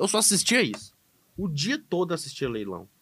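On a very clean recording with a silent background, a man speaks with a fairly high pitch. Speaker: animal scientist. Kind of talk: casual podcast conversation.

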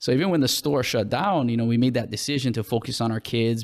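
On a very clean recording with a silent background, a man with a Hawaiian accent talks at a very fast pace. His pitch is medium, with ordinary pitch variation. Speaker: school administrator and apparel entrepreneur. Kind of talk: casual interview.

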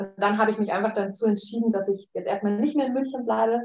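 A woman with an ordinary speaking voice, fairly high in pitch, with ordinary pitch variation. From Munich, Bavaria, Germany. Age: 30s. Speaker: life design coach. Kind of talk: casual interview.

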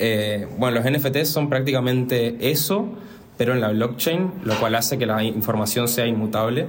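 A man's speech moves at a moderate pace, with audible room echo and noticeable background noise around it. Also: medium pitch for a man, ordinary pitch variation. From Argentina, Resistencia, Chaco. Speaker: visual artist. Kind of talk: casual interview. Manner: halting, repeats words.

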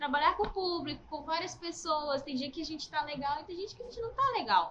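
The woman's voice sits at a high pitch. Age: 30s. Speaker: supermarket cashier. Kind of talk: casual interview.

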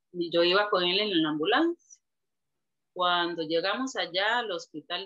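Slowing to a fairly slow pace, a woman with a plain, everyday voice speaks at a medium pitch with ordinary pitch variation. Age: 40s. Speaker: churchgoer sharing life story. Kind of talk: testimony.

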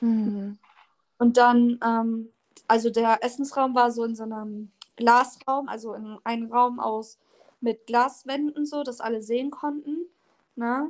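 Quiet and very slow, a woman speaks at a high pitch with fairly even intonation, long, frequent pauses and big swings in loudness. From northern Germany, Oldenburg (Lower Saxony). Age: 20s. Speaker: social media creator. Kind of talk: casual interview. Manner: varies between very quiet and loud.

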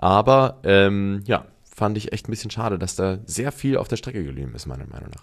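A man's normal speaking voice, fairly low in pitch, with lively intonation, a moderate pace and hardly any pauses. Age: 30s. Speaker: podcast co-host. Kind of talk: casual chat.

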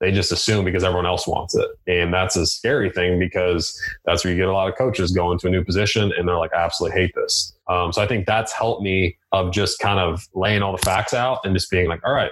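A man talks at a fairly quick pace in a low pitch. His tone is fairly bright and his intonation fairly even.

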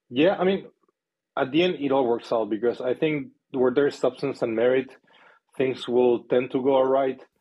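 A man with a Spanish accent speaks at a moderate pace and medium pitch, with long, frequent pauses. His loudness is very even, and his pitch variation is ordinary. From Chile. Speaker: company founder and CEO. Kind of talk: interview.

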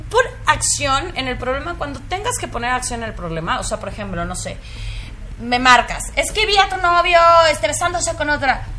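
There is noticeable background noise behind this woman. She speaks at a moderate pace. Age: 30s. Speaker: podcast co-host. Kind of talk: casual chat.

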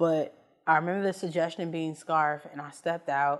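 Here is an ordinary speaking voice from a woman with an American accent and a fairly low pitch. She keeps a moderate pace. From Chicago, South and West Side. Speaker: improv comedian. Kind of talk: interview.

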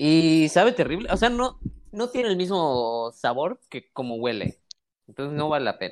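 A man speaks with a Mexican accent at a moderate pace. His pitch is fairly high and swings very widely. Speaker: podcast co-host. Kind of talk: casual chat.

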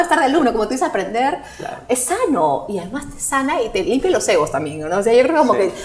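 Speaking at a very fast pace, a woman with a high pitch makes very wide pitch swings over noticeable background noise. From Peru. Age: 40s. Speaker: psychologist and marketing strategist. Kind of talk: casual interview.

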